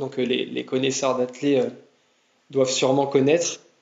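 A man's fairly high voice moves at a moderate pace. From France, Tours. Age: 20s. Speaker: marathon runner and engineer. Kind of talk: casual interview. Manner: halting, many repetitions and fillers.

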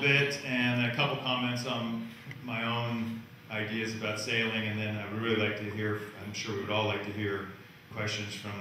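A man speaks at a moderate pace with strong room echo and light background noise. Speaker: guest. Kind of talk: talk answering a moderator's question. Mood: relaxed, smiling. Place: hall.

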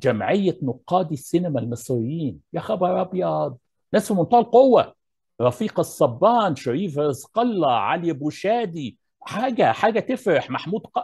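The voice moves at a fairly slow pace with very wide pitch swings. Behind it, the background is quiet. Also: man, high pitch for a man. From Egypt. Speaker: architecture professor. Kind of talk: lecture. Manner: formal. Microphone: earbuds.

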